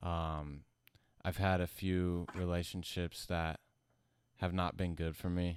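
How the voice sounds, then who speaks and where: In a very clean recording with a silent background, a man with a very deep, low pitch speaks very slowly in a monotone, flat intonation at very even loudness, with long, frequent pauses. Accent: American. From US South (Alabama). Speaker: musician. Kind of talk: casual interview.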